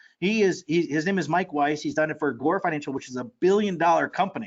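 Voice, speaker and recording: Racing along at a very fast pace, a man with an American accent speaks at a fairly high pitch. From Ohio, US. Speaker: marketing coach. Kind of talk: webinar sales pitch. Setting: live webinar. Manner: animated.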